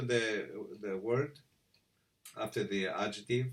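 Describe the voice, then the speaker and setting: A man with a Greek accent and ordinary pitch variation. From Greece. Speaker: voice coach. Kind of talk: tutorial. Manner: halting, many fillers.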